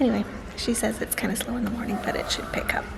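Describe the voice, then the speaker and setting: A woman is whispering. Noticeable background noise and audible room echo surround her. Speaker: crochet vlogger and market vendor. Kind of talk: casual vlog. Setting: garage.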